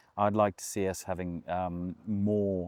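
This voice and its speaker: A man's very deep, low voice in a flat monotone. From South Africa, Durban area. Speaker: rugby club CEO. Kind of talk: interview. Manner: measured, many filler ums.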